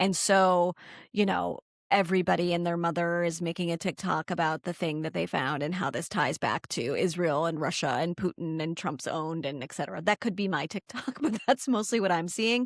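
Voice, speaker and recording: With an American accent and an ordinary speaking voice, a woman talks at a fairly quick pace, her fairly low pitch moving with ordinary variation, on a very clean recording with a silent background and a dry, close sound with no echo. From United States. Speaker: podcast co-host. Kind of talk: casual chat.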